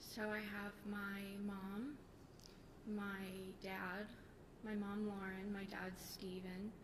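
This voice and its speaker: Soft-spoken, a woman talks with monotone, flat intonation. Noticeable background noise and audible room echo fill the recording. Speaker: police officer testifying at trial. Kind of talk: court testimony. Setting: courtroom microphone. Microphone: too quiet, far from the mic.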